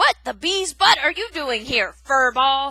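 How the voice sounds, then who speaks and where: A woman puts on a high, growling character voice. She delivers it at a fairly slow pace. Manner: snarling.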